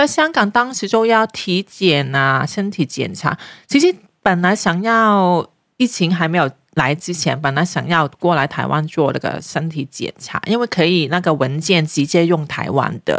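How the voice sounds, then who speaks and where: A woman with a Hong Kong accent, fairly low in pitch, at a fairly slow pace with lively intonation and a dry, close sound with no echo. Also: very clean recording, silent background. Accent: Hong Kong Cantonese-accented Mandarin. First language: Cantonese (speaking Chinese). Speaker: parenting blogger. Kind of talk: casual chat.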